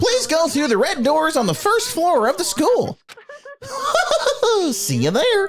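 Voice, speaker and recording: A put-on character voice, high-pitched with very wide pitch swings, at a fairly slow pace with long, frequent pauses. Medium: game stream. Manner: theatrical, mocking.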